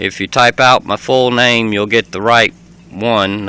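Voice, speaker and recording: Bright and sharp in tone, a man's voice moves at a fairly slow pace with fairly even intonation in a dry, close sound with no echo. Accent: Southern US. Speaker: vlogger. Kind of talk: casual home video tour. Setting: inside his camper RV. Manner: hesitant, many fillers.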